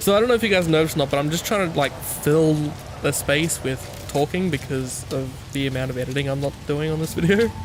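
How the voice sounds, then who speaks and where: Talking at a very fast pace with an Australian accent, this speaker is quiet, with music playing in the background. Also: man, fairly high pitch for a man, ordinary pitch variation. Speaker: gaming YouTuber. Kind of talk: gameplay commentary. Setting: home recording at night. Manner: casual, hesitant.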